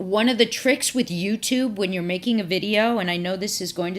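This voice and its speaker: Here is a woman with an ordinary speaking voice. Her pitch is medium with ordinary variation, on a very clean recording with a silent background. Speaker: professor. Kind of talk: tutorial.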